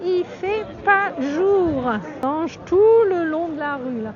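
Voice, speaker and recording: An extremely high-pitched woman speaks with lively intonation. Audible room echo and crowd noise fill the background. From France. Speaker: travel vlogger. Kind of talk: live-stream travel vlog. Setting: outdoors in streets and market, then indoor nativity exhibit. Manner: animated.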